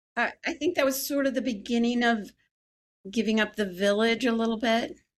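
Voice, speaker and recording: A woman uses a normal speaking voice at a fairly high pitch and a fairly quick pace. Her pitch varies an ordinary amount while her loudness stays very even. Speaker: religion reporter, podcast host. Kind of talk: podcast host talk.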